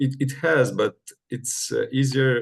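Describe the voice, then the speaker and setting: With a Romanian accent, a man speaks at a fairly slow pace and a medium pitch. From Moldova (Chisinau). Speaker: medical student. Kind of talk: interview. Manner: halting, many fillers.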